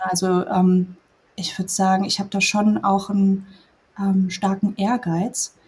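Somewhat breathy delivery at a fairly slow pace. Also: woman. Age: 30s. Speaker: former coaching client, nurse. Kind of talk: casual interview.

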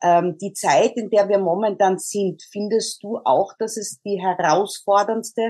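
Fairly even intonation and a fairly slow pace in a normal speaking voice. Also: woman. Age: 40s. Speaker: podcast host. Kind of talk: interview.

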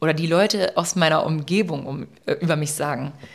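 Her pitch varies in an ordinary way as a woman speaks. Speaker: social media influencer, podcast co-host. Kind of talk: casual chat. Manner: fast, stumbles over words.

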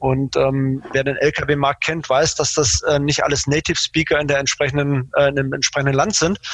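Hardly pausing, a man keeps a moderate pace in a fairly high, monotone, flat voice at very even loudness, the sound dry and close with no echo. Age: 40s. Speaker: logistics manager at a carmaker. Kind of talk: interview. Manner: hesitant, many fillers.

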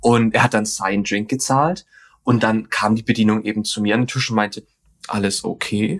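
With an unremarkable speaking voice, a man talks at a moderate pace, his pitch fairly low and its variation ordinary. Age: 20s. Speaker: podcast guest sharing dating story. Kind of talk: casual interview storytelling. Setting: remote video call.

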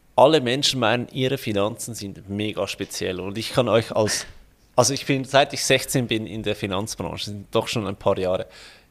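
A plain, everyday voice from a man, medium in pitch with ordinary pitch variation, at a moderate pace with big swings in loudness, on a very clean recording with a silent background. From Switzerland. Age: 30s. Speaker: financial planner and online entrepreneur. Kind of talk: interview.

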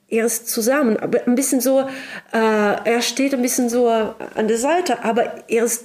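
Here, a woman speaks with a Russian accent. She keeps a fairly slow pace. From Russia, Sakhalin island. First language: Russian (speaking German). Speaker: writer and translator. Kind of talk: interview. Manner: halting, many fillers.

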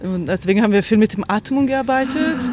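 This woman keeps a moderate pace and ordinary pitch variation while background noise stays noticeable. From Brazil. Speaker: choreographer and dancer. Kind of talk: interview.

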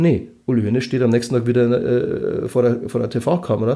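The pace is fairly quick and the tone is dark and mellow. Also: man. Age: 40s. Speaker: journalist. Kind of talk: casual interview. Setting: office, creaking leather chairs. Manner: hesitant, many fillers.

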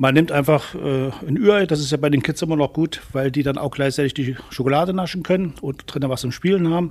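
This man has a plain, everyday voice, fairly high in pitch with ordinary pitch variation, moving at a fairly quick pace with hardly any pauses. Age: 60s. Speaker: youth angling instructor. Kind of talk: tutorial.

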